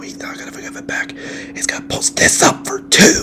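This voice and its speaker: Over noticeable background noise, a man talks in a calm tone at a fairly quick pace. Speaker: sports broadcaster doing ASMR. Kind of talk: sports play-by-play commentary. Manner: relaxing, calm.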